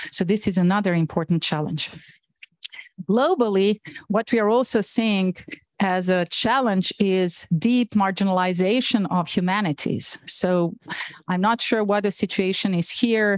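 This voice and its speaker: A woman talks fairly slowly at a medium pitch, with a Bosnian accent. The sound is dry with no echo, over a quiet background. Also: ordinary pitch variation, very even loudness. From Bosnia and Herzegovina. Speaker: professor. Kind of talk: lecture. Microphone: video call.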